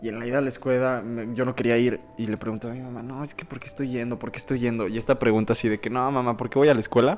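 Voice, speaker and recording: A man speaks very fast with a Mexican accent and big swings in loudness. Noticeable background noise runs underneath. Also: medium pitch for a man, fairly even intonation. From Mexico. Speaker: podcast co-host. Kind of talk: casual chat.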